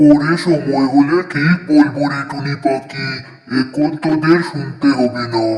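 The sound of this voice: A cartoonish character voice moves at a fairly slow pace. There is a slight echo. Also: man, fairly high pitch for a man.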